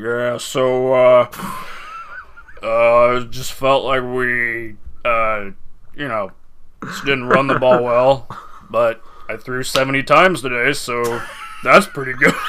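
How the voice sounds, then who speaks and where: Using a put-on character voice, a man speaks at a very slow pace and medium pitch. He takes long, frequent pauses over clear background noise. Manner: dopey, slow.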